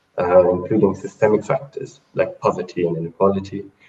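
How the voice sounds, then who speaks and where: A somewhat breathy man with a fairly low pitch and a moderate pace. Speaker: food security analyst at aid organization. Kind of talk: online panel presentation. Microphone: poor connection quality.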